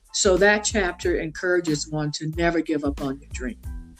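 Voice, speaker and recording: A woman talks fairly quickly while there is music in the background. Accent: American. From south Louisiana, USA. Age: 60s. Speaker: consultant and author. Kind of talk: podcast interview answer.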